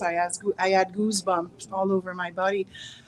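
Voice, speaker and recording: A woman speaks with a Quebec French accent at a medium pitch. Her intonation is monotone and flat. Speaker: interviewer. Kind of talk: interview.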